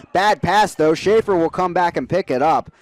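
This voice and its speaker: Speaking with an American accent, a man uses a high pitch and a fairly quick pace. The sound is dry and close, with no echo. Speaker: college sports play-by-play broadcaster. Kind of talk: live sports play-by-play commentary.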